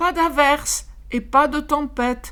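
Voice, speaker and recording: Using a put-on character voice, a woman speaks high and at a fairly slow pace with lively intonation. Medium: read story.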